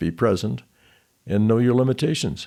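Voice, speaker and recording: A man with vocal fry and a dark, mellow tone speaks at a fairly quick pace in a very clean recording with a silent background. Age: 70s. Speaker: podcast host. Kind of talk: personal essay narration.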